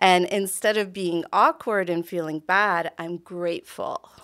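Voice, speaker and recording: Over a quiet background, a woman with a medium pitch speaks at a fairly slow pace in a bright, sharp tone. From Canada, immigrant family. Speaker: doctor, interview guest; podcast guest. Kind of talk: casual interview. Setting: studio. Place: studio. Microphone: studio mic.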